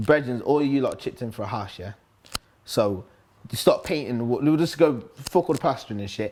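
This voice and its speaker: The speaker has a Nottingham accent. The pace is fairly quick. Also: man. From Nottingham, England (Top Valley). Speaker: grime MC. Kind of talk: casual interview. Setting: live-streamed sit-down interview. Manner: loud, hyperactive.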